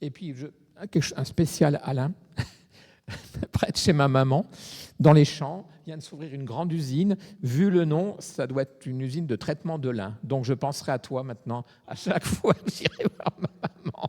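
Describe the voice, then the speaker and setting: A man's somewhat breathy, dark, mellow voice sits at a fairly high pitch with ordinary pitch variation and big swings in loudness, at a moderate pace with long, frequent pauses, in a dry, close sound with no echo. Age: 70s. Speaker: congregation member. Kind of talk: casual group discussion.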